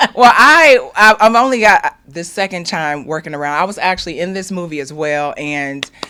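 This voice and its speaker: Amid noticeable background noise, a woman talks in a fairly low voice at a moderate pace with hardly any pauses, very wide pitch swings and big swings in loudness. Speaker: field reporter. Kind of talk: interview.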